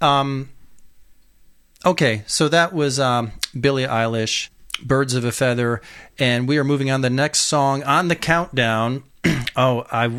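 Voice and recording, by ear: Clear, smooth tone from a man at medium pitch, fairly bright in tone, at a fairly slow pace. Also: ordinary pitch variation.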